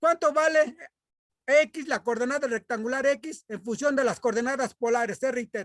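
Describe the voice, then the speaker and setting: The voice is loud and moves at a fairly slow pace. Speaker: math teacher. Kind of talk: lecture.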